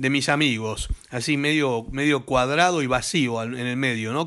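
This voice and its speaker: Against a quiet background, a man with a fairly high pitch and a bright, sharp tone speaks at a moderate pace in an animated way. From Argentina. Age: 60s. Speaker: gaming YouTuber; gaming video creator. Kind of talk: comedic rant to camera; casual vlog chat, mocking commentary. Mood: joking, teasing.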